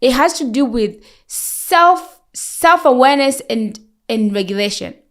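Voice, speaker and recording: Loud and high-pitched, a woman speaks at a fairly slow pace with lively intonation on a very clean recording with a silent background. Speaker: nurse and sleep educator. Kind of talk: podcast interview. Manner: talkative.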